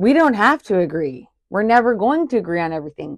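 A loud woman with very wide pitch swings over a quiet background. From Ontario, Canada. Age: 40s. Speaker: podcast host, entrepreneur. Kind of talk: solo podcast monologue, casual and personal. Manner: loud, energetic, straight-talking.

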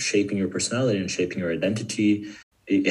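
A man speaks very fast with a Brazilian accent. His intonation is lively. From Sao Paulo, Brazil. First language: Portuguese. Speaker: guest. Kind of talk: casual interview. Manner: halting.

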